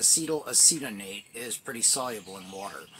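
There is light background noise. A man speaks with very wide pitch swings. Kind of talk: casual explanatory vlog chat. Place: tent. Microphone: phone near.

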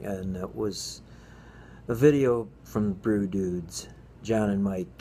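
A man's voice is very deep and low, with a dark, mellow tone. Light background noise sits underneath. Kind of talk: casual vlog chat. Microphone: phone near.

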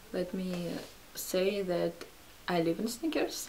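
A woman with a non-native accent talks over light background noise. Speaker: fashion vlogger. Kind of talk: casual haul video talk to camera. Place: home room. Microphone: camera far.

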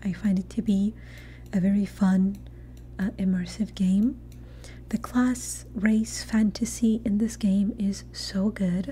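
Light background noise surrounds a soft-spoken woman who talks at a very slow pace. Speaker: ASMR creator and gamer. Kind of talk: ASMR gaming talk. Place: home room. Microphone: studio mic.

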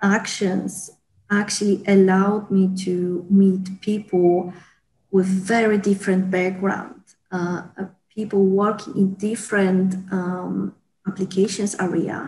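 Over light background noise, a woman speaks very slowly in a monotone, flat intonation with a somewhat breathy, dark, mellow tone. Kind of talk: interview answer. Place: office. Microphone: earbuds.

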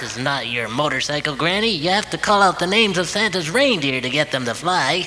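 A man's put-on character voice, high in pitch and fairly quick in pace, with clear background noise.

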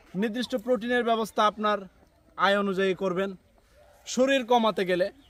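Fairly even in intonation, a man talks in a high pitch. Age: 30s. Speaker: YouTuber. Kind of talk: casual advice talk to camera.

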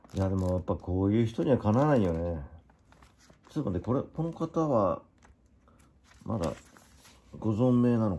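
Speaking at a moderate pace, a man with a fairly low pitch and a dark, mellow tone makes very wide pitch swings and takes long, frequent pauses. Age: 50s. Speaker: YouTuber. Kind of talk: casual chat.

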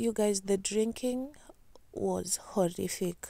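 A woman at a fairly slow pace, dry sound with no echo and a quiet background. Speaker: vlogger. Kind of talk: casual vlog chat.

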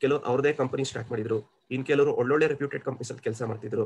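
This man's voice comes out somewhat breathy. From Kolar, Karnataka, India. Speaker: senior software engineer. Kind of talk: interview answer. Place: home room. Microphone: video call.

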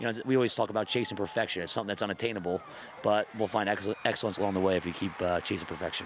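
The speech comes at a very fast pace with fairly even intonation. Noticeable background noise is present. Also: man, fairly low pitch for a man. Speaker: high school football coach. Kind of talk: post-game interview. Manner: halting.

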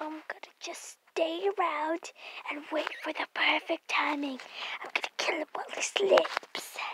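A woman whispers in a put-on character voice at a moderate pace. Her loudness swings widely. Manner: menacing, unhinged.

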